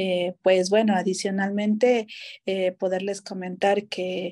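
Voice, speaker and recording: A woman's dark, mellow tone at a fairly slow pace over a quiet background. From Ecuador, El Oro province (Machala), coast. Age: 30s. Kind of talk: interview. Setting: studio. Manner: halting, many fillers. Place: home room. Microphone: video call.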